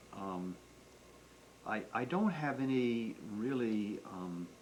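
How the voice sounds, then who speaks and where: A medium-pitched man with ordinary pitch variation, over noticeable background noise. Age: 60s. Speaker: grandfather being interviewed about his life. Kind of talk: family oral history interview. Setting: at home. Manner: halting, many repetitions.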